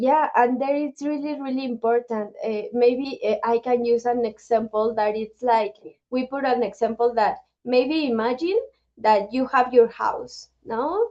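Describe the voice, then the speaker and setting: A woman speaks with a high pitch and a dark, mellow tone. She goes at a fairly slow pace with ordinary pitch variation. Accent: Spanish. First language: Spanish. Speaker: nonprofit director. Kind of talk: webinar interview. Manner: halting.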